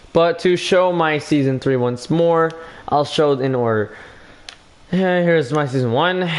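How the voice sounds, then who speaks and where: Through noticeable background noise, a man with a fairly high pitch speaks with long, frequent pauses. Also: ordinary pitch variation, moderate pace. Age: young. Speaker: gaming livestreamer. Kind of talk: casual livestream chat. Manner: halting.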